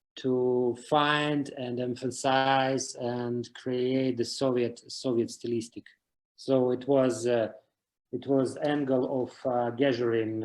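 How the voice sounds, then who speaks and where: A man with a Russian accent speaks very slowly in a medium pitch, his intonation monotone and flat. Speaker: series creator. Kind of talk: interview. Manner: halting.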